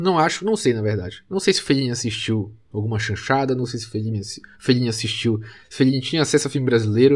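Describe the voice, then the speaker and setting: Speaking at a moderate pace, a man has a medium pitch and lively intonation. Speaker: film podcast host. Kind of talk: solo film commentary. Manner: halting, with repetitions.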